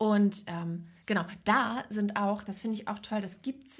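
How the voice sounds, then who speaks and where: A woman speaks at a fairly slow pace in a fairly high pitch. Her voice is somewhat breathy, with ordinary pitch variation. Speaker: podcast co-host. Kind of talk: casual chat.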